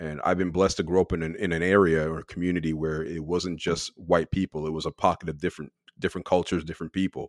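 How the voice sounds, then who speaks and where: A man with an American accent and a very deep, low pitch talks at a fairly quick pace in monotone, flat intonation, in a very clean recording with a silent background and a dry, close sound with no echo. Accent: Canadian English, sometimes heard as American. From Quebec, Canada. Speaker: sports podcast host. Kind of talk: casual discussion.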